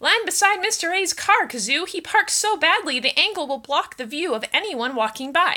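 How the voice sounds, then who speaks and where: A woman uses a put-on character voice pitched extremely high. She keeps a moderate pace with hardly any pauses. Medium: read story.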